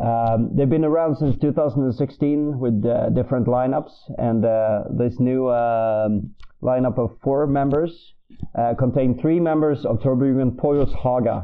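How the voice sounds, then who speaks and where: With fairly even intonation and very even loudness, a man talks at a fairly slow pace in an unremarkable speaking voice. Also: medium pitch for a man. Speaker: music segment presenter. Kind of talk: scripted segment presentation.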